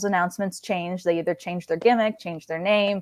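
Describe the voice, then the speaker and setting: A woman's ordinary speaking voice at medium pitch with ordinary pitch variation, dry and close with no echo, on a very clean recording with a silent background. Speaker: ring announcer. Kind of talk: casual interview answer.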